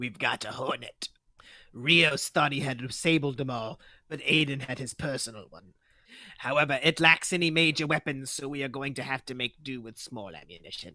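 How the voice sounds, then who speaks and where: At a moderate pace, a man in a put-on character voice of medium pitch makes big swings in loudness. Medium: read story. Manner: brisk, matter-of-fact orders.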